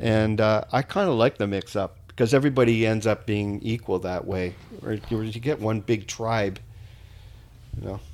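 With a Canadian accent and an unremarkable speaking voice, a man talks at a moderate pace with fairly even intonation. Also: fairly low pitch for a man. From Ontario, Canada. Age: 60s. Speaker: podcast guest. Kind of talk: casual chat.

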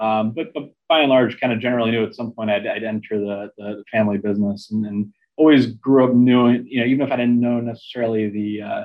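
A man with an American accent talks at a very fast pace. His medium-pitched voice stays monotone, with flat intonation. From US Midwest, Chicago area. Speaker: investment executive and author. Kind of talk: interview.

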